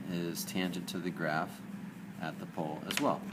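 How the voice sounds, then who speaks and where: A man with a very deep, low pitch and fairly even intonation, at a moderate pace, with audible room echo. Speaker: math teacher. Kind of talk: lecture.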